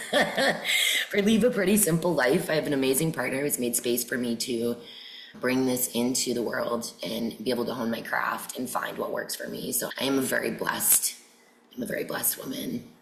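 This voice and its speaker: Amid noticeable background noise, a woman with an American accent speaks at a moderate pace in a very deep, low voice with lively intonation. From New Hampshire, US. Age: 40s. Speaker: yoga teacher. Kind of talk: podcast interview.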